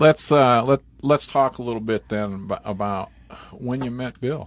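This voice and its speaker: At a fairly slow pace, a man speaks in a plain, everyday voice of medium pitch with ordinary pitch variation. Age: 50s. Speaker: family interviewer. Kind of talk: oral history interview.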